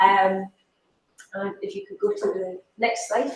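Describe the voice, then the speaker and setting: This woman speaks with a strong Scottish accent. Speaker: education academic. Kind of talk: conference talk. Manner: slow and clear.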